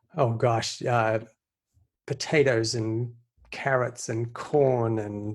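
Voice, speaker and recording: Somewhat breathy, a man with an Australian accent talks at a medium pitch and a very slow pace. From Australia, Sydney. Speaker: investor. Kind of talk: podcast interview.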